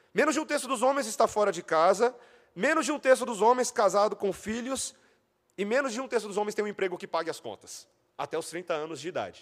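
With lively intonation and a high pitch, the man talks at a very fast pace. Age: 30s. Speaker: pastor. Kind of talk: sermon.

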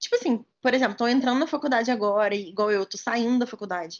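Speaking in an ordinary speaking voice, a woman uses a fairly high pitch with ordinary pitch variation. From Minas Gerais, Brazil (Juiz de Fora). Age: 20s. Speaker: medical student. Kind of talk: casual chat.

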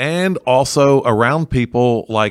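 On a very clean recording with a silent background, a man's voice comes through with a dry, close sound and no echo. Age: 60s. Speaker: pastor. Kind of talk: casual interview discussion on theology. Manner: halting.

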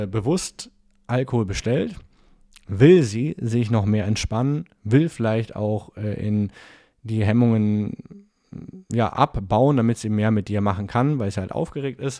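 A man with a medium pitch and a dark, mellow tone speaks at a fairly slow pace with long, frequent pauses and ordinary pitch variation, on a very clean recording with a silent background. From Franconia, Nuremberg. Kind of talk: solo podcast monologue with coaching advice. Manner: casual, with frequent filler sounds.

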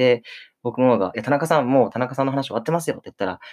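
Against a silent background in a very clean recording, a man talks at a very fast pace in a medium-pitched voice. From Okinawa, Japan. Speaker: theater troupe leader and playwright-director. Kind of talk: casual radio chat. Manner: halting, many fillers.

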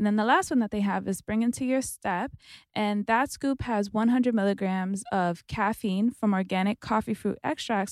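A woman speaks at a fairly quick pace and fairly high pitch with ordinary pitch variation, in a very clean recording with a silent background and a dry, close sound with no echo. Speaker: podcast co-host. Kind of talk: casual chat. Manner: animated.

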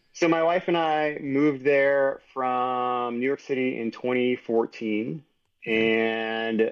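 A man with a plain, everyday voice and an American accent talks at a medium pitch with ordinary pitch variation. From Texas, San Antonio. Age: 40s. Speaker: engineer and entrepreneur. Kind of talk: interview conversation.

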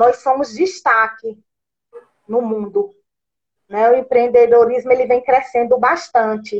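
High in pitch, a woman talks at a fairly slow pace with long, frequent pauses. Her loudness stays very even and her pitch varies in an ordinary way. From northeastern Brazil. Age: 40s. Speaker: social worker. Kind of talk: talk in an online live event. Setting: live video stream.

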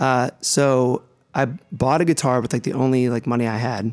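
On a very clean recording with a silent background, a man of medium pitch speaks with fairly even intonation in an ordinary speaking voice. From US Midwest, Ohio (Youngstown area). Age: 30s. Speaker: singer-songwriter. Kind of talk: interview. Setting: radio studio.

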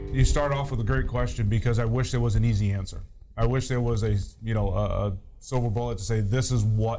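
A man talks at a fairly quick pace in a fairly low, somewhat breathy voice with ordinary pitch variation. Audible room echo surrounds the speech. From New Hampshire. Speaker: fire chief. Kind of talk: casual chat.

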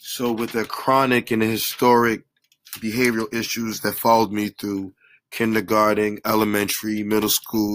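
A man with a fairly low pitch and an American accent, monotone and flat, at a moderate pace, on a very clean recording with a silent background. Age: 30s. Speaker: track coach and blogger. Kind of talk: solo podcast monologue. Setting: home basement recording.

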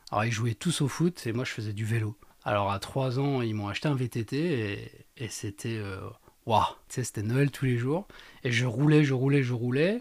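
A man's normal speaking voice at a medium pitch and moderate pace, with ordinary pitch variation, on a very clean recording against a silent background. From Lorraine, France. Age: 30s. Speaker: amateur trail runner, estate agent. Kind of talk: casual interview. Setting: studio.

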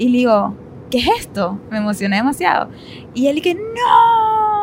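Against noticeable background noise, a woman talks at a fairly slow pace with lively intonation. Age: 30s. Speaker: podcast co-host. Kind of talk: casual chat.

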